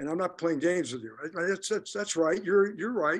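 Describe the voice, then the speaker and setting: A man speaks at high pitch and moderate pace. His pitch varies in an ordinary way. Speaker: clarinetist and periodontist; guest. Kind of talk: interview. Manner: halting. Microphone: video call.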